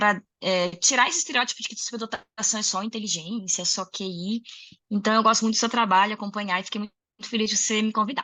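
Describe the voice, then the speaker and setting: A woman speaks at a very fast pace in a fairly high voice. Her intonation stays fairly even. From Rio Grande do Sul, southern Brazil. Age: 30s. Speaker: music educator and singer. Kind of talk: interview conversation.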